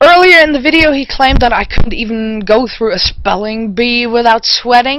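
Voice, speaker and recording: A woman's voice is high and her intonation lively. She talks at a moderate pace. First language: German. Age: 40s. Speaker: vlogger. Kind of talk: response video rant.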